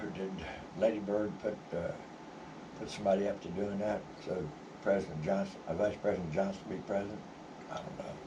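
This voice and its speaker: A man's fairly low voice at a fairly quick pace, with audible room echo and noticeable background noise. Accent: American. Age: 70s. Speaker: vlogger. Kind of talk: personal storytelling. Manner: halting, many fillers.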